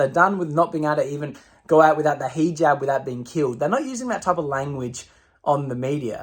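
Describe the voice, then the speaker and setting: An animated man with an Australian accent speaks at a fairly high pitch. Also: very clean recording, silent background. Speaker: political commentator. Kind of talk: opinion rant to camera.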